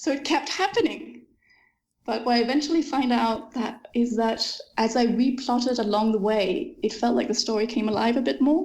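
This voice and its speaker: A woman with a Danish accent speaks at a moderate pace in a high voice, her pitch varying in an ordinary way. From Denmark. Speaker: fantasy author. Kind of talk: interview.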